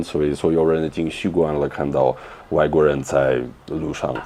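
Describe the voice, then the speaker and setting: A man's very deep, low voice unfolds at a moderate speed. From Russia. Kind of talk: interview answer.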